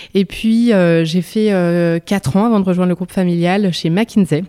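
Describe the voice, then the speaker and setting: Dark and mellow in tone, a woman's voice sits at medium pitch. She keeps a moderate pace and fairly even intonation. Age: 30s. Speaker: company CEO. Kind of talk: interview. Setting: company headquarters.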